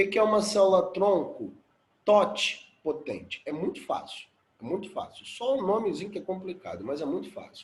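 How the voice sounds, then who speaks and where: A man speaks at a moderate pace with a high pitch. His pitch variation is ordinary, and the room echo is audible. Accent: Brazilian. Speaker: biology teacher. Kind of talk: lecture.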